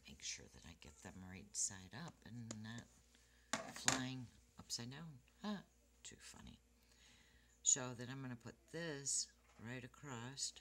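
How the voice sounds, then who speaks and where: A woman speaks at a very deep, low pitch and a very slow pace, leaving long, frequent pauses. Her pitch swings very widely and her loudness in big swings, over noticeable background noise. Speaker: card-making crafter. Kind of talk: tutorial. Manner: casual. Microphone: quiet recording, hard to hear.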